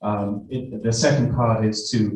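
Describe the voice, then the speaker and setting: With audible room echo, the speaker uses fairly even intonation and a Welsh accent. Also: man. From Wales. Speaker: nurse and university academic. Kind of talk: conference talk. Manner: halting, many fillers.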